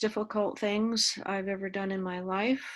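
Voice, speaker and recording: A woman with an American accent speaks with monotone, flat intonation. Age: 60s. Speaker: activist. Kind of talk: interview. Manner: halting.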